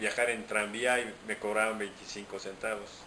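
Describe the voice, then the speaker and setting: Monotone, flat intonation comes through with audible room echo and noticeable background noise. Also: man. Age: 60s. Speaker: interviewee. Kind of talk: interview.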